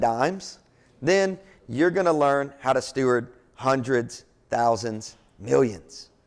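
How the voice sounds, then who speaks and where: On a very clean recording with a silent background, a man with a Kentucky accent sounds animated, his intonation lively. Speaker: pastor and entrepreneur speaker. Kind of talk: motivational talk. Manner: halting.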